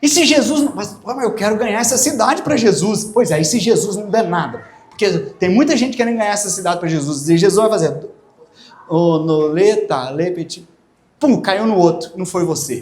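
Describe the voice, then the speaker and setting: In a room with audible echo, a man talks at a moderate pace. His pitch is high and his intonation lively. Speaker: pastor. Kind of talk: sermon. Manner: animated.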